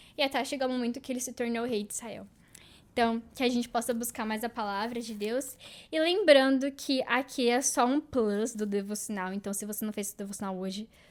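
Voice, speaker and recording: A woman talks fairly quickly in a plain, everyday voice at a fairly high pitch. Her pitch varies in an ordinary way on a very clean recording with a silent background. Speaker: podcast host. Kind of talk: devotional talk.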